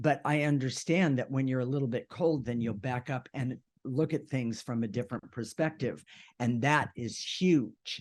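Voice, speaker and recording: In an unremarkable speaking voice, a man talks at a medium pitch and a moderate pace with ordinary pitch variation. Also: quiet background. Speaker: co-host of a spiritual self-help radio show. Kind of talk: casual conversational discussion. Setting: radio show.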